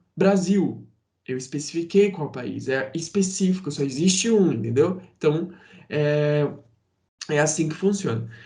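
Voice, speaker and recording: A man with a fairly high pitch and a dark, mellow tone speaks at a fairly slow pace with long, frequent pauses amid audible room echo. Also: ordinary pitch variation. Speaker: teacher. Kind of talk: lecture.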